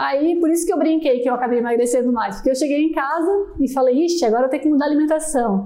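With audible room echo, a high-voiced woman speaks at a very fast pace with hardly any pauses, ordinary pitch variation and very even loudness. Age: 30s. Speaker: customer support staff. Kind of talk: casual chat.

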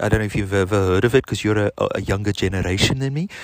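Very fast and at a fairly low pitch, a man speaks with a slight South African accent and ordinary pitch variation, in a dry, close sound with no echo. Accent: slight Afrikaans-tinged South African. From South Africa, Benoni. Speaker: podcaster. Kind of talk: casual chat. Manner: rambling with fillers.

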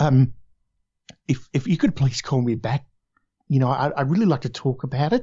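Somewhat breathy, this speaker keeps to a moderate pace. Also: man. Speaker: voiceover artist. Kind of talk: casual interview chat. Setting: video call.

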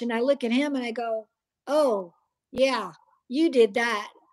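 A woman with an American accent speaks in a high voice at a moderate pace, her pitch varying in an ordinary way, on a very clean recording with a silent background. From US Midwest (Iowa). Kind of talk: testimony.

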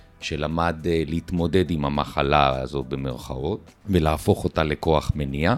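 Very deep, low male voice at a fairly slow pace, fairly even in intonation, with music in the background. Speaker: real estate developer. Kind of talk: interview.

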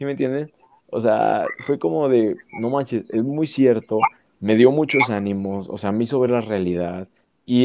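A man's dark, mellow voice at a medium pitch, fairly slow in pace, with lively intonation. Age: 20s. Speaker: podcast guest. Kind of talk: casual chat.

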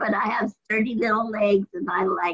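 A woman with a normal speaking voice talks at a fairly slow pace and fairly high pitch, with ordinary pitch variation. The sound is dry and close, with no echo. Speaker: meeting participant. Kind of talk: casual sharing.

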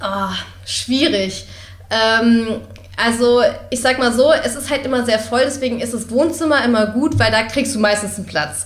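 Audible room echo surrounds a woman talking at a moderate pace. Her pitch is fairly high, with ordinary variation. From Berlin. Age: 20s. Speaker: university student. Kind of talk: casual interview.

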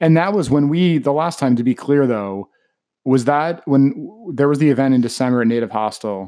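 This man has a plain, everyday voice, fairly high in pitch, with lively intonation and a moderate pace. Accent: American. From Baltimore, US. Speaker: podcast host. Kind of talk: interview. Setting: studio.

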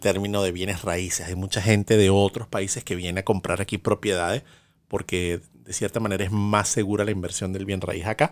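In a Venezuelan accent, a man with a fairly low voice speaks at a moderate pace on a very clean recording with a silent background. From Venezuela, Caracas. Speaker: podcast co-host. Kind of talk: casual chat.

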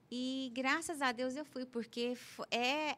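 A woman speaks at a very slow pace. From Brazil, Goiás (Anápolis). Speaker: orthodontist and professor. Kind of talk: interview.

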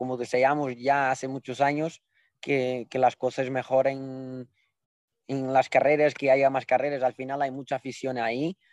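A dry, close sound with no echo over a quiet background. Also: man. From Portugal. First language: Portuguese (speaking Spanish). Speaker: jockey. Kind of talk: casual chat.

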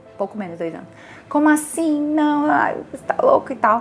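A woman speaks at a moderate pace with music in the background. Her high voice has very wide pitch swings. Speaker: chemical engineer and visual artist. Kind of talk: casual interview chat. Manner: animated.

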